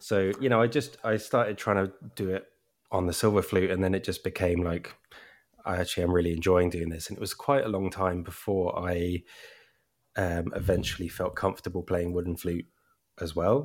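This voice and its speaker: On a very clean recording with a silent background, a man with a southern English accent speaks fairly quickly in a very deep, low voice with ordinary pitch variation. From Brighton, southern England. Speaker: flute player and folk music author. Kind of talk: casual interview chat.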